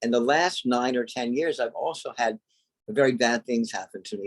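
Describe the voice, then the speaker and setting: Dry and close with no echo, this is a man speaking at a medium pitch. His pace is moderate and his pitch variation ordinary. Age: 60s. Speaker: pagan priest. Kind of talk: interview. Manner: halting.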